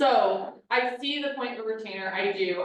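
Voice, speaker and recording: A woman is talking. She shows ordinary pitch variation. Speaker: real estate agent. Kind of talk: team meeting discussion. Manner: loud.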